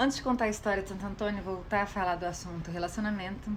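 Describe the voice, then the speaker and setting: Room echo is audible as a woman speaks at medium pitch. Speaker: social media content creator. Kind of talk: casual talk to camera. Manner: animated.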